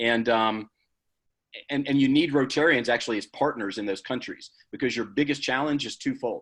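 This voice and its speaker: Fairly quick speech from a man with a Southern US accent, medium in pitch with ordinary pitch variation, over a quiet background. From US South, Georgia. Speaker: charity leader, guest speaker. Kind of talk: Q&A at a club meeting.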